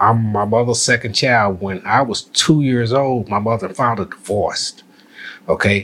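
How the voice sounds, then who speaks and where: A man speaks in a normal speaking voice at a medium pitch. His pace is moderate. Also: ordinary pitch variation. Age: 60s. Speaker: retired postmaster and navy veteran. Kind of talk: casual chat.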